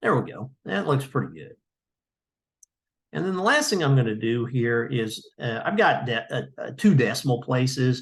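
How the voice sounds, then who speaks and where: Mumbling, somewhat breathy man at a medium pitch, with lively intonation and big swings in loudness, over a quiet background. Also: moderate pace. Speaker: GIS trainer. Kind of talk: tutorial. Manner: halting, many fillers.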